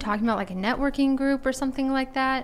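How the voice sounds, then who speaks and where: A woman's high-pitched voice with an American accent, racing along at a very fast pace. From Texas, Rockwall near Dallas. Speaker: podcast host. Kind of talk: casual interview.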